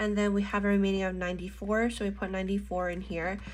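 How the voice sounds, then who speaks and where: A woman's voice carries audible room echo. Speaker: budgeting and planner vlogger. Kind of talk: casual tutorial while crafting. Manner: slurring speech.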